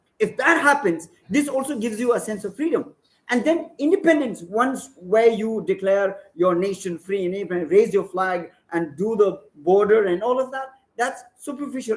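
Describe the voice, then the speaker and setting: Speaking at a moderate pace, a high-pitched man uses lively intonation. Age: 40s. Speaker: activist speaker. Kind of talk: panel presentation.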